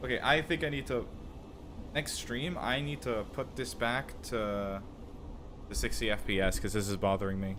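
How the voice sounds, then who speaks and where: Speaking at a moderate pace with lively intonation, a man with a fairly low pitch leaves long, frequent pauses, and room echo can be heard. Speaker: gaming streamer. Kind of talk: live gameplay commentary. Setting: live stream.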